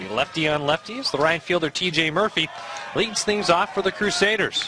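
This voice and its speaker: A high-pitched male voice with ordinary pitch variation amid noticeable background noise. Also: moderate pace. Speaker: baseball play-by-play announcer. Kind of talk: sports play-by-play broadcast.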